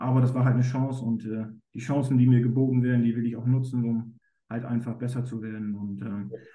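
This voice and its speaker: Speaking very fast in a monotone, flat intonation, a man has a medium pitch, a dark, mellow tone and a somewhat breathy quality. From northern Germany, East Frisia. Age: 30s. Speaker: goalkeeper coach. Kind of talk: interview.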